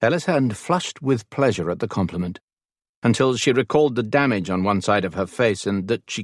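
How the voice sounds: Against a quiet background, the text is read in a natural reading voice.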